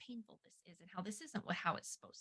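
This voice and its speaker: A woman speaks in a bright, sharp tone. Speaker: parenting ministry co-founder. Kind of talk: webinar discussion. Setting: video webinar. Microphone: moves away from mic, cutting out.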